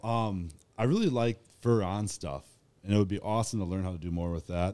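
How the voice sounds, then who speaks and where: This man has a dark, mellow tone and a fairly low pitch. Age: 30s. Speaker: clothing creator and leatherworker; clothing creator. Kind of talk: casual chat. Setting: studio. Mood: relaxed, friendly. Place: studio. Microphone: studio mic.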